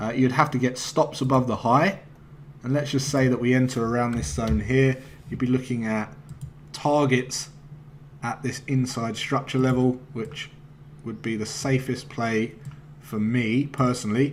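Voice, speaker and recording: Amid noticeable background noise, a man speaks at a medium pitch and moderate pace with fairly even intonation and long, frequent pauses. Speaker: forex trading educator. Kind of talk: trading tutorial. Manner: casual, hesitant fillers.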